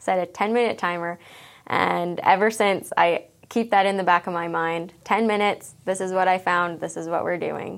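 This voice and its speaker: A woman with a Canadian accent speaks in an ordinary speaking voice at medium pitch, with fairly even intonation and a moderate pace, in a very clean recording with a silent background. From Alberta, Canada. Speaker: elementary school teacher. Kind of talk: interview.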